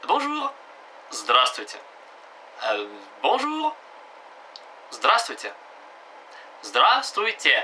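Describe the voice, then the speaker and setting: With noticeable background noise behind him, a man speaks at a very slow pace, leaving long, frequent pauses. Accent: Russian. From Russia. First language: Russian (speaking French). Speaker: language teacher. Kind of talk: tutorial. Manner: halting, many hesitations.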